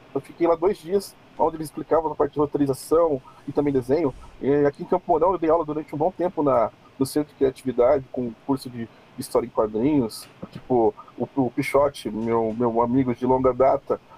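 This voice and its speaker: Man with an ordinary speaking voice, fairly high in pitch, at a fairly quick pace with ordinary pitch variation and big swings in loudness. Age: 40s. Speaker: cosplayer and illustrator. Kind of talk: casual chat.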